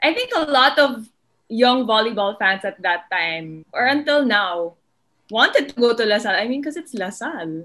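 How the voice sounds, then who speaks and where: A woman speaks in a fairly high pitch with a Filipino accent. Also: moderate pace. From Philippines. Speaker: sports podcast host. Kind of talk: casual interview. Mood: warm, smiling. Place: home room. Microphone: webcam.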